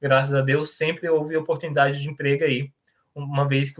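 A man with an ordinary speaking voice, fairly high in pitch, talks at a moderate pace with fairly even intonation. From Brazil, Goiás (Niquelândia). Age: 20s. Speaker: software tech lead. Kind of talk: online presentation with Q&A.

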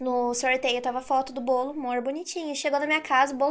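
Fairly quick and high-pitched, this woman's speech keeps a fairly even intonation. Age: 20s. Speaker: content creator. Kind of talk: casual chat.

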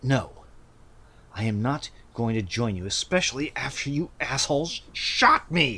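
A growling, put-on character voice moves along at a moderate pace. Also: man, medium pitch for a man. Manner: growling, snarling.

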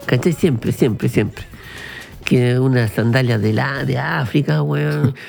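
A man talks at a medium pitch and fairly slow pace, with very wide pitch swings. Noticeable background noise runs underneath. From Chile, Viña del Mar/Valparaíso. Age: 40s. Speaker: podcast co-host. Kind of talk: casual chat. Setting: studio. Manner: animated.

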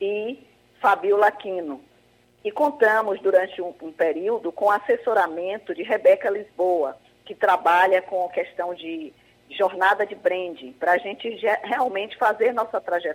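An unremarkable speaking voice from a woman, medium in pitch with ordinary pitch variation, at a fairly slow pace with big swings in loudness. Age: 60s. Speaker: project founder, retiree. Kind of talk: radio interview.

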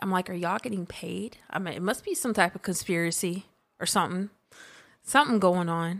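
An unremarkable speaking voice with an American accent moves at a fairly quick pace with ordinary pitch variation in a very clean recording with a silent background. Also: woman, medium pitch for a woman. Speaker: sports commentator podcaster. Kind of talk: angry sports rant, indignant complaint about refs and fans.

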